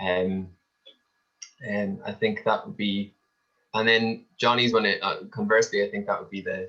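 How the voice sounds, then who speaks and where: With an Irish accent, a man speaks with long, frequent pauses and big swings in loudness. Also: moderate pace. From Ireland. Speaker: tourism industry panelist. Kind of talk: panel discussion. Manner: halting, many fillers.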